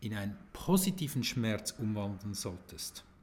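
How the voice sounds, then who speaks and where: A man speaks at a very slow pace and a medium pitch. His voice is somewhat breathy, with very wide pitch swings. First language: Swiss German (speaking German). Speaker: sales and video marketing coach. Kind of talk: solo podcast monologue.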